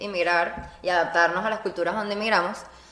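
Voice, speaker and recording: A woman at a very fast pace, with noticeable background noise and audible room echo. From Venezuela. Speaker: podcast co-host. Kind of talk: casual chat. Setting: studio with small audience.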